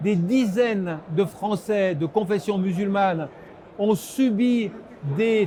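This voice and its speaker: Noticeable background noise sits behind this recording. A man speaks at a high pitch with ordinary pitch variation. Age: 70s. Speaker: political scientist. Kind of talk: interview.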